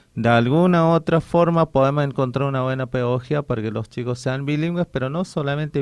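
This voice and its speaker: With hardly any pauses, a man with a fairly high pitch speaks with ordinary pitch variation. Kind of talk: radio interview. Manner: halting, with many restarts.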